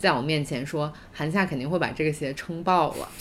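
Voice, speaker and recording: Her pitch is very deep and low, with ordinary variation. The woman talks at a moderate pace. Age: 30s. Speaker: podcast co-host. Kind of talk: casual chat. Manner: loud, with loud laughter.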